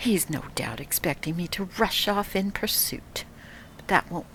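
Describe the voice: Reading aloud, plain.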